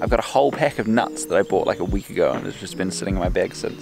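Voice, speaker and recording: Someone with a New Zealand accent talks at a very fast pace with music in the background. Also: man. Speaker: travel vlogger. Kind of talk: casual vlog narration. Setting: outdoors on a bike tour. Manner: casual, rambling with fillers.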